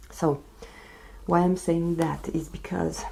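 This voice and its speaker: A soft-spoken woman is heard over light background noise. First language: non-English. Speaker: beauty vlogger. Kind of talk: casual chat. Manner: slow. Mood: serious, recounting illness. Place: home room.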